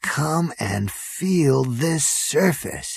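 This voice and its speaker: Quiet and at a middle pitch, the speaker uses a put-on character voice. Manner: hushed, awed.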